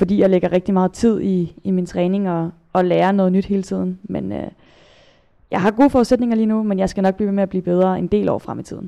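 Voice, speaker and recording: Against a quiet background, a woman speaks very fast in a dark, mellow tone at a medium pitch. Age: 20s. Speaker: kayak polo player and national team captain. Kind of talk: interview. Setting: studio. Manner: halting, many repetitions and fillers.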